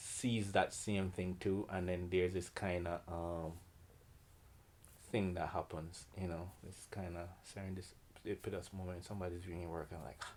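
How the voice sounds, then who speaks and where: With a Jamaican accent, a man speaks at a moderate pace in a very deep, low pitch and a monotone, flat intonation. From Jamaica, Kingston. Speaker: painter and art teacher. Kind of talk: artist interview.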